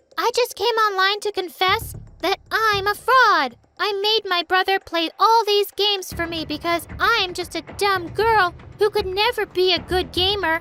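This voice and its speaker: Music plays in the background as a shrill, put-on character voice speaks at a moderate pace. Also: woman. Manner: weird, mocking.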